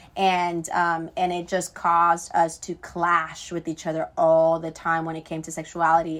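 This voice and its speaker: At a moderate pace and with hardly any pauses, a woman with an American accent speaks in a fairly low pitch with monotone, flat intonation. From Florida. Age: 20s. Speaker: youth ministry worker. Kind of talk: testimony. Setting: video call.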